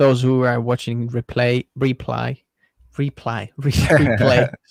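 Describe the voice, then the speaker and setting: Here a man speaks in an Estonian accent at a fairly slow pace. His intonation is fairly even. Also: dry, close sound with no echo. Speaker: tech YouTuber. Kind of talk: livestream interview.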